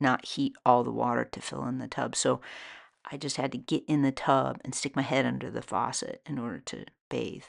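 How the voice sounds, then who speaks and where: A woman speaks at a moderate pace, with a quiet background behind her. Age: 60s. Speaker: soap maker and author. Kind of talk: casual monologue. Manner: musing.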